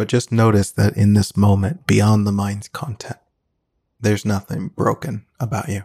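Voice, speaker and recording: With a dry, close sound and no echo, a man speaks at a moderate pace in a somewhat breathy voice, his tone dark and mellow, his intonation fairly even and his pitch fairly low. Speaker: meditation teacher. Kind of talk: guided meditation. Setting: live video broadcast.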